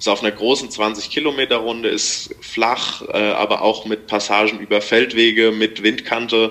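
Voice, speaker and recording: A man is speaking. His pace is fairly slow. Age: 20s. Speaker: amateur racing cyclist. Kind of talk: casual interview. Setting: remote call.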